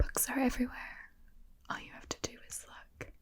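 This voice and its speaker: The voice is soft-spoken. Its pace is moderate. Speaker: ASMR host. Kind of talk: ASMR book review.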